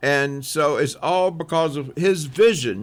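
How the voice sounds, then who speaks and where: The recording is very clean, with a silent background. A man talks with a Southern US accent. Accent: Southern US (Georgia). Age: 70s. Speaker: local business family member. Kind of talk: radio interview.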